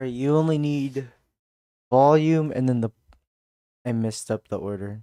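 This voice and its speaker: A man speaks at a moderate pace, with long, frequent pauses. The sound is dry with no echo, and the background is quiet. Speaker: game developer streamer; streamer. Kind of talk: live coding stream. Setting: livestream. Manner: halting. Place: home room. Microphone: studio mic.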